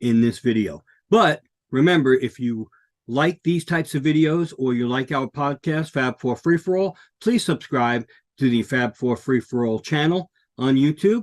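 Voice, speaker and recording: A man in an American accent, with ordinary pitch variation, a moderate pace, and a dry, close sound with no echo. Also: medium pitch for a man. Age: 60s. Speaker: podcast co-host and author. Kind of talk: casual talk to camera. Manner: hesitant, many fillers.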